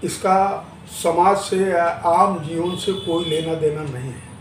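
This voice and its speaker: A high-pitched man with fairly even intonation, amid noticeable background noise and audible room echo. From Maharashtra, India. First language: Marathi (speaking Hindi). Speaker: interviewee on language politics. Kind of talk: news interview.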